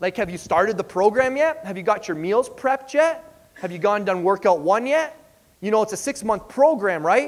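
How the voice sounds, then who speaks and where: Energetic in tone, a man speaks at a moderate pace with very wide pitch swings. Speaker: fitness coach and speaker. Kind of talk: motivational stage speech. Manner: energetic, direct, conversational.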